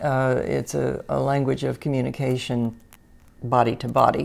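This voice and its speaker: Over a silent background in a very clean recording, a woman speaks at a moderate pace. Her voice is very deep and low, with vocal fry. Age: 80s+. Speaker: painter and art teacher. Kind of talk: personal reflection to camera. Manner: halting with frequent fillers.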